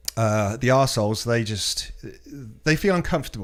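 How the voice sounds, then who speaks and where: Speaking with a British accent, a man at medium pitch uses lively intonation. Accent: British, sounds posh and well-spoken. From Britain. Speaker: podcast guest. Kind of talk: casual chat. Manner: articulate, well-spoken.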